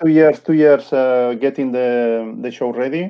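A man with a Spanish accent, medium in pitch, fairly even in intonation, at a fairly slow pace. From Spain. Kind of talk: casual interview chat. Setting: video call from home. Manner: halting, searching for words.

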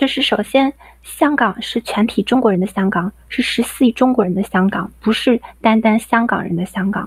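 A woman with a fairly high voice speaks at a moderate pace with ordinary pitch variation. The sound is dry and close with no echo, though background noise is noticeable. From Dalian, Liaoning, China. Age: 20s. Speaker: caller. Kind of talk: reading aloud.

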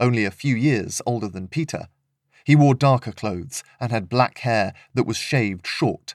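Reading aloud in a natural voice with ordinary pitch variation, against a quiet background

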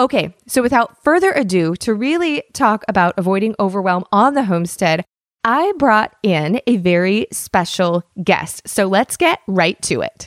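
A woman's medium-pitched voice with an American accent, very wide pitch swings, very even loudness, a moderate pace, and a dry, close sound with no echo. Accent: slight Southern accent when excited. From Washington State. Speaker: podcast host. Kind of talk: podcast interview.

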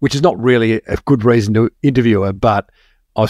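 On a very clean recording with a silent background and a dry, close sound with no echo, a man with an Australian accent speaks very fast at medium pitch with ordinary pitch variation. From Melbourne, Australia. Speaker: marketing podcast host. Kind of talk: casual interview chat.

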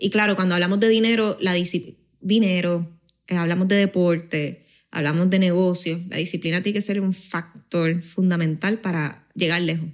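A woman with a Puerto Rican accent talks at a moderate pace in a fairly low pitch with fairly even intonation. The recording is very clean, with a silent background. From Canary Islands, Spain until age 9, then Puerto Rico. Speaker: finance company co-founder. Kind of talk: casual interview.

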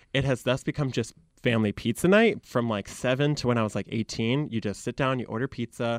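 Recorded dry and close with no echo over a quiet background, a man with a Michigan accent speaks at a fairly quick pace, his medium pitch showing ordinary variation. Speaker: social media content creator. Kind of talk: interview conversation. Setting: radio studio.

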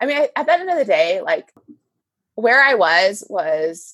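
The woman's pitch swings very widely as she talks fairly slowly. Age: 30s. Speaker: confidence coach and librarian. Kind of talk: casual chat. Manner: animated.

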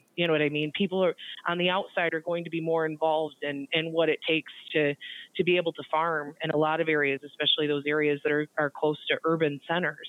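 Speaking very fast with an Upper Midwest US accent, a woman with a very deep, low pitch keeps a monotone, flat intonation. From central Michigan. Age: 30s. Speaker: grain market analyst. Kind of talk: interview.

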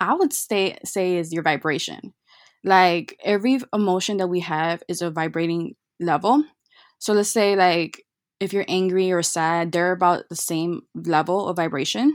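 In a very clean recording with a silent background, a woman with an American accent and an ordinary speaking voice talks at a fairly low pitch with ordinary pitch variation. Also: moderate pace. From Chicago. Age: 20s. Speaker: virtual assistant. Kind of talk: casual chat.

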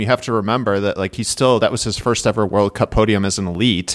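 A man speaks with a Midwestern US accent. The recording is very clean with a silent background, and the sound is dry and close with no echo. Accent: Midwestern US, nasal. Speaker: cyclocross analyst and writer. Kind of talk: casual chat.

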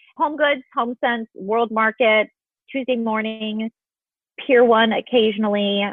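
In a normal speaking voice, a woman with an American accent speaks at a fairly high pitch and fairly slow pace with fairly even intonation. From US Midwest, Illinois. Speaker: interior designer. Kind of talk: interview.

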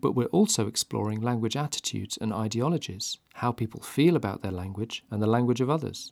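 A man talks at a fairly quick pace with hardly any pauses, his pitch medium and its variation ordinary. He has a plain, everyday voice, recorded very cleanly, dry and close with no echo, against a silent background. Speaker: linguistics researcher. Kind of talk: scripted narration.

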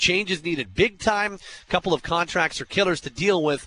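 A bright, sharp tone at a moderate pace. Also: man. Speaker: sports radio host. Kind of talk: postgame call-in show. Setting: studio.

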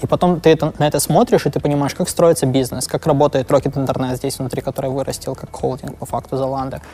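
Fairly high in pitch, a man speaks very fast with fairly even intonation. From Ukraine (Lviv). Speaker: product manager and startup co-founder. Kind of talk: interview. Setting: office. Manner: halting.

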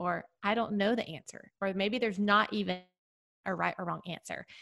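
A woman's bright, sharp voice with vocal fry, ordinary pitch variation and a fairly quick pace. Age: 40s. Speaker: author and podcast host. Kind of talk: casual chat.

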